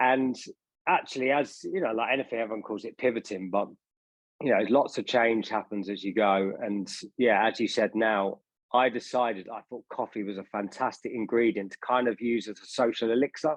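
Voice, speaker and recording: Speaking in a London accent, a man at medium pitch keeps a fairly quick pace with ordinary pitch variation. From England, northwest London (Harrow). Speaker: drinks brand founder, former stage performer. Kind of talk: interview.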